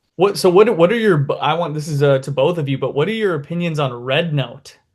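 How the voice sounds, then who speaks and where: A man with a Midwestern accent, at a very fast pace, with a fairly high pitch and ordinary pitch variation. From Minnesota, US. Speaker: YouTube interviewer. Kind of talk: casual interview.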